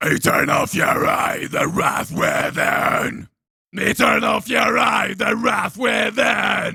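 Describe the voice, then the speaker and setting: A man shouts and growls in a put-on character voice with a high pitch. His pace is very slow. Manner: aggressive, metal-style screaming.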